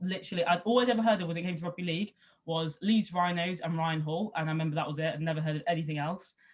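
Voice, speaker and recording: Very fast and somewhat breathy, a woman speaks at a fairly low pitch with ordinary pitch variation. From England, Somerset (Southwest). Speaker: rugby league player and former sports journalist. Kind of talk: interview. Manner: casual, lots of fillers.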